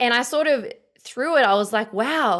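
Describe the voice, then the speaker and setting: The speaker uses lively intonation with an Australian accent. The recording is very clean, with a silent background. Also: woman. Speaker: podcast host. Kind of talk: interview conversation. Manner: hesitant, many fillers.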